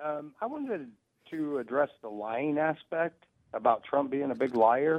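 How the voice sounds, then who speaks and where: A man with an American accent, fairly high pitch and a plain, everyday voice, at a fairly slow pace. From Missouri, US Midwest. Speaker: truck driver caller. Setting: phone call.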